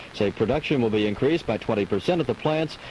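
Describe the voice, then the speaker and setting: A man talks very fast with lively intonation, and noticeable noise sits in the background. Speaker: radio news anchor. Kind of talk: local radio newscast reading. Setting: 1985 AM/FM radio broadcast, recorded from a cassette boombox.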